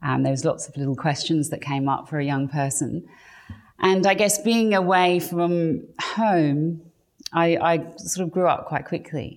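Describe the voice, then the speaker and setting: Speaking in an English accent, a woman talks at a fairly low pitch and a fairly slow pace with ordinary pitch variation. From England. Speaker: artist and stylist. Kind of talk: interview. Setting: guest's home studio.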